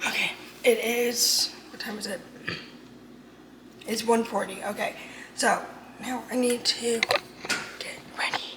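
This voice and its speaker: Fairly slow female whispering, broken by long, frequent pauses, with big swings in loudness over noticeable background noise. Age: 20s. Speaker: vlogger, college student. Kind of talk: casual vlog. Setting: home kitchen. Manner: chatty, rambling pace.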